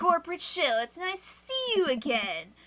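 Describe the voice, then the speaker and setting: A woman's whiny, put-on character voice, extremely high-pitched with very wide pitch swings, at a moderate pace. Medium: solo performance. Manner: earnest, polite.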